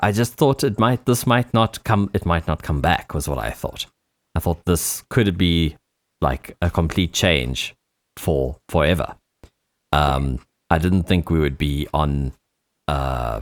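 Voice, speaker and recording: With vocal fry and long, frequent pauses, a man talks at a fairly slow pace in a dry, close sound with no echo. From South Africa. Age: 30s. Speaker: DJ and music producer. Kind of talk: interview. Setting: radio show interview. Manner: halting.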